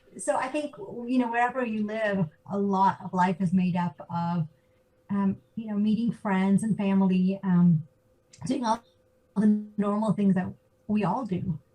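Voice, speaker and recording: With an American accent, a woman talks at a fairly slow pace in a dark, mellow, somewhat breathy voice of medium pitch and ordinary pitch variation. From US (Georgia, Atlanta). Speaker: business consultant. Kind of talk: interview. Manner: halting, many fillers.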